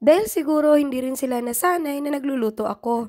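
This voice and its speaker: At a fairly quick pace, a woman speaks with a high pitch and lively intonation. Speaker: vlogger. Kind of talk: voice-over narration.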